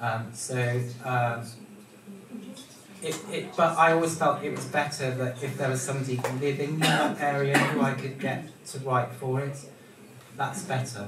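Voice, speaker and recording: A man with a fairly high pitch speaks at a moderate pace, with ordinary pitch variation and long, frequent pauses. Noticeable background noise and audible room echo fill the recording. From Wales. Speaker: dance magazine editor. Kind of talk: panel discussion.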